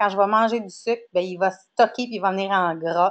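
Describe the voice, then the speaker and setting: Over a quiet background, a woman with a Quebec accent speaks with lively intonation. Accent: Québécois. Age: 40s. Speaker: wellness coach. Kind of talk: lecture. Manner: hesitant, many fillers.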